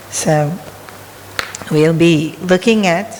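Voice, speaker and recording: A woman speaks with a fairly low pitch. Noticeable background noise and audible room echo surround her voice. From Australia. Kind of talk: spiritual talk. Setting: temple hall with audience. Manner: conversational.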